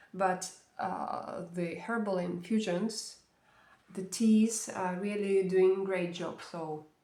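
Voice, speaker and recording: A woman at a medium pitch in a monotone, flat intonation, with audible room echo. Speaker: vlogger. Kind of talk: casual vlog review. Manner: hesitant, many fillers.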